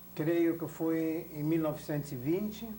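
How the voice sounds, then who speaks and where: Fairly slow, fairly high-pitched speech from a man, with audible room echo. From Belgium (Antwerp), born in Berlin. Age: 60s. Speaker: Holocaust survivor. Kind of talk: oral history interview. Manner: formal.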